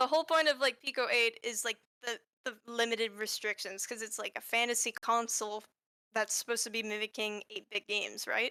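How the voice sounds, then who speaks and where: A woman's fairly high, bright, sharp voice at a fairly quick pace, in a dry, close sound with no echo. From New Brunswick, Canada. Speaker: indie game developer. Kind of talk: casual interview chat. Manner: halting, self-interrupting.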